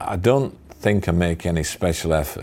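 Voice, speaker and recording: A man with a Yorkshire accent speaks in a dark, mellow tone. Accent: broad Yorkshire. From Sheffield, Yorkshire. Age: 60s. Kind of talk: interview answer. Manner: halting.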